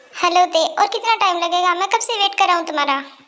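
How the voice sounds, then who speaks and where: A woman does a put-on character voice at an extremely high pitch. She talks at a very fast pace with ordinary pitch variation. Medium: read story.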